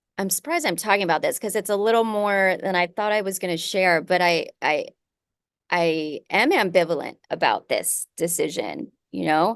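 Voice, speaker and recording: Against a quiet background, a woman at medium pitch speaks at a moderate pace with long, frequent pauses. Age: 40s. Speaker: podcast host. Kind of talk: casual chat.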